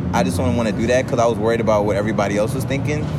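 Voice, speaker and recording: Noticeable background noise and audible room echo accompany this man's voice. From African background. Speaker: podcast host. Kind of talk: casual chat. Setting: outdoors.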